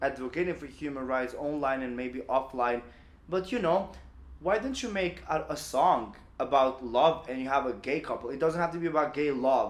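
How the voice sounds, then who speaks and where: A man with an Albanian accent, fairly high in pitch, at a moderate pace with ordinary pitch variation. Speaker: LGBTQ activist. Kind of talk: podcast interview. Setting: office.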